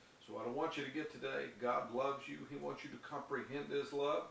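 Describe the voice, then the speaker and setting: A man talks fairly quickly at a medium pitch, with audible room echo and light background noise. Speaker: preacher. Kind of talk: sermon with scripture reading and prayer; fervent prayer, declaimed aloud with rising devotional intensity. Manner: earnest, impassioned, urgent; rhythmic, building cadence with repeated phrases. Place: home room.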